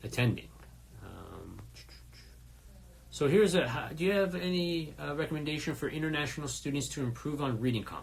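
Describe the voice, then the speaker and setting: Amid audible room echo, a somewhat breathy man talks at a fairly quick pace and a fairly high pitch, with ordinary pitch variation and long, frequent pauses. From first-generation immigrant, Iranian family. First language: Farsi. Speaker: test prep company founder and instructor. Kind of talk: live Q&A stream. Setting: Instagram live stream. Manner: many fillers and hesitations.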